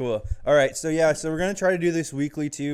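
With an ordinary speaking voice, a man talks at a fairly quick pace and fairly even intonation in a very clean recording with a silent background. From Arizona (Chandler). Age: 20s. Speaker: podcast co-host. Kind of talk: casual chat.

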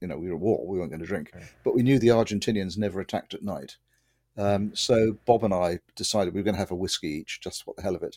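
A man talks at a very fast pace in a fairly low, dark, mellow voice with ordinary pitch variation and big swings in loudness. The sound is dry and close with no echo, in a very clean recording with a silent background. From southern England, Winchester. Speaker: retired naval helicopter pilot. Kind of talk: interview.

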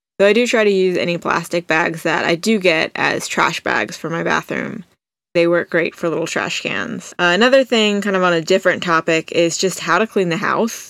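A woman with an ordinary speaking voice talks at a moderate pace, fairly low in pitch with ordinary pitch variation, in a dry, close sound with no echo. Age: 20s. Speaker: podcast host. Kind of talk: solo monologue. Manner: casual, conversational.

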